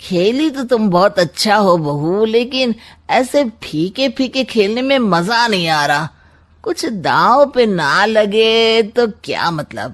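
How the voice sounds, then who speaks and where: In a cartoonish character voice, a man speaks high-pitched and at a fairly slow pace, with lively intonation. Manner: glib, sarcastic, smug.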